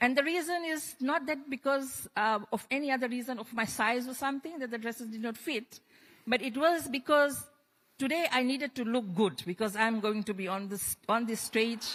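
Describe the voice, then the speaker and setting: A high female voice with ordinary pitch variation. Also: moderate pace. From Fiji. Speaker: trade union leader. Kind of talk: panel discussion. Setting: stage with audience.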